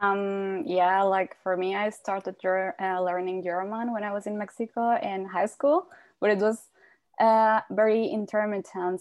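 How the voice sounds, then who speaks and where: At a fairly slow pace, a woman speaks at a medium pitch against a quiet background. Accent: Spanish. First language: Spanish. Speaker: language exchange student. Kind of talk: casual interview.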